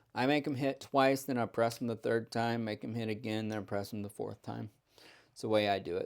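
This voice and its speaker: At a moderate pace, a man with a medium pitch talks in an ordinary speaking voice with fairly even intonation. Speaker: craps strategy youtuber. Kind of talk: tutorial. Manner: casual, chatty.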